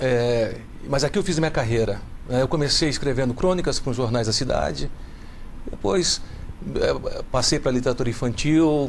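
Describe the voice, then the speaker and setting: Amid audible room echo, a man speaks at a moderate pace and medium pitch, with ordinary pitch variation, very even loudness, and long, frequent pauses. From Brazil, Minas Gerais (Belo Horizonte). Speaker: children's author and literature teacher. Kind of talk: TV talk show interview.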